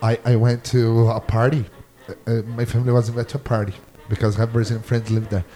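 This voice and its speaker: Over noticeable background noise, a man talks very fast at a medium pitch, monotone and flat. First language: Portuguese. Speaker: podcast host. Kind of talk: casual chat. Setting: studio.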